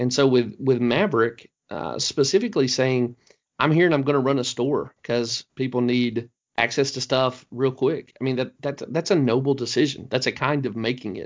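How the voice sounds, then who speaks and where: In a Southern US accent, a man speaks at a moderate pace with a medium pitch and ordinary pitch variation. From US Deep South. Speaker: podcast host. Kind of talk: casual discussion, movie review.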